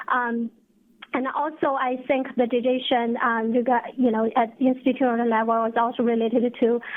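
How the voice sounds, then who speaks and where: A woman speaks in a high pitch at a moderate pace. Her intonation is monotone and flat, and her loudness is very even. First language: not English. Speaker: researcher presenter. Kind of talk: webinar Q&A. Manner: halting, many fillers.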